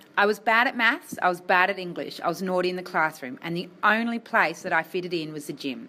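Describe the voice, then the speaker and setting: Talking very fast with an Australian accent, a woman uses a medium pitch, a bright, sharp tone and lively intonation. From Tasmania, Australia. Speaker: health worker and motivational speaker. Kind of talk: speech to students.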